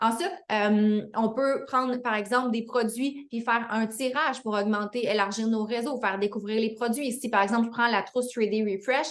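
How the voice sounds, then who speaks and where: A woman speaks in a Quebec accent with fairly high pitch. Her intonation stays fairly even, with hardly any pauses. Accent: Québécois French. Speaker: fitness business coach. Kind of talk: online team training call. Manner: fast; hesitant with fillers.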